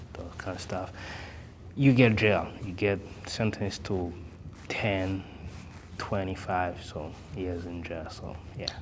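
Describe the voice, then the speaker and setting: A man with a very deep, low voice speaks very slowly, with fairly even intonation, long and frequent pauses, and big swings in loudness. Audible room echo and noticeable background noise come through. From Burundi, Bujumbura. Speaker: interview guest, immigrant. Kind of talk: interview. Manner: halting, many fillers.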